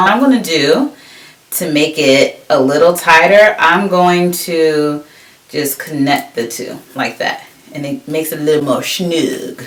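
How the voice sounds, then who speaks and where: A woman with an American accent, fairly low-pitched and animated, at a fairly slow pace amid noticeable background noise. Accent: New Jersey, comes out at times. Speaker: beauty vlogger. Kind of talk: tutorial. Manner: casual, animated.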